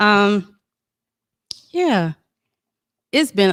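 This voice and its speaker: Speaking very slowly, a woman is heard here. Everything around her is silent in this very clean recording. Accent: Southern US. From South Carolina, Georgetown area. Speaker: podcast guest. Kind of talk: personal testimony. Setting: studio.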